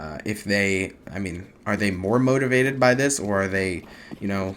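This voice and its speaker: Speaking at a moderate pace with an American accent, this is an unremarkable speaking voice with ordinary pitch variation. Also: man. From United States. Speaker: esports caster. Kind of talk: live commentary.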